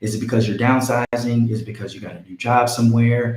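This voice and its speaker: Somewhat breathy and dark, mellow in tone, a man speaks at a fairly quick pace. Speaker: real estate agent. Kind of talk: live stream tutorial. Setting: live stream.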